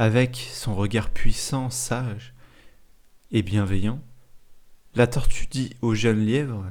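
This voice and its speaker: Very slowly, a man speaks at medium pitch with fairly even intonation. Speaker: storyteller and podcast host. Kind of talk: bedtime story telling, calm narration of a tale. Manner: slow, gentle and soothing, unhurried pacing.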